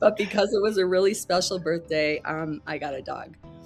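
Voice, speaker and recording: Noticeable noise fills the background while a woman talks at a moderate speed. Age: 70s. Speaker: podcast host. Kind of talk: podcast interview intro; reading a guest bio aloud.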